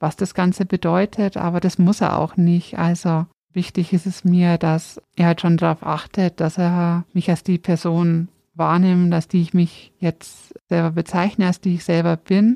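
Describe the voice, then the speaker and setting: A woman's fairly low, dark, mellow voice in a flat monotone, dry and close with no echo, on a very clean recording with a silent background. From Upper Palatinate, Bavaria. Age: 30s. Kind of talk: interview conversation, personal storytelling.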